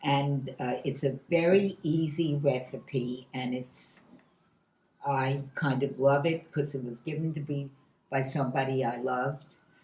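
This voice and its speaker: A woman's very deep, low, somewhat breathy voice at a fairly slow pace, with fairly even intonation. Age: 90s. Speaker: home cook. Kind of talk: cooking demonstration. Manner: halting.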